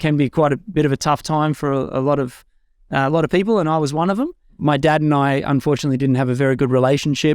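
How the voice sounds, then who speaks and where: A man with a fairly high pitch talks at a very fast pace with fairly even intonation and very even loudness. The very clean recording has a silent background and a dry, close sound with no echo. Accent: Australian. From Australia, Far North Queensland. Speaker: podcast host, spiritual community guest. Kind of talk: interview, personal life story.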